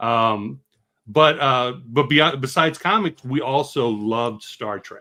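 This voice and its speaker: A man talks in an ordinary speaking voice at a medium pitch and a fairly slow pace. His loudness swings widely while his pitch varies in an ordinary way. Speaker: filmmaker and live stream host. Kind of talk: casual chat.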